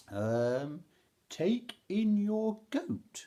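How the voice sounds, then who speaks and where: The speaker uses a put-on character voice with very wide pitch swings. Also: man, high pitch for a man. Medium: read story.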